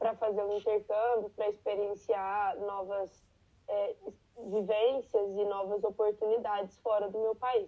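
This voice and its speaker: A normal speaking voice at a moderate pace. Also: woman. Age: 20s. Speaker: barista, immigrant. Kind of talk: interview.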